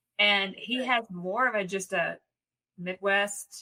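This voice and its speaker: Very slowly, a woman speaks with a Southern US accent at medium pitch. Her tone is bright and sharp, and her intonation fairly even. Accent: Southern American. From American South.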